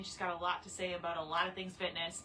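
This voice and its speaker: Room echo is clearly audible as the woman talks, and background noise is easy to notice. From Canada. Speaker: fitness trainer. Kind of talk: casual chat. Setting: livestream. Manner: animated.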